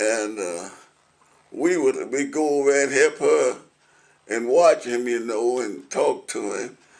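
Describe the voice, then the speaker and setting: A man with a Middle Tennessee accent talks at a very slow pace, leaving long, frequent pauses. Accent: Southern US, Middle Tennessee. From Williamson County, Tennessee. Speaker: retired concrete truck driver and war veteran. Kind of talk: oral history interview answer.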